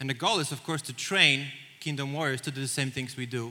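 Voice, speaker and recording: A man in a Polish accent talks at a very fast pace, his fairly high pitch varying an ordinary amount and his tone bright and sharp. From Poland. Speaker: church missions director. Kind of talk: church presentation. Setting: stage with audience.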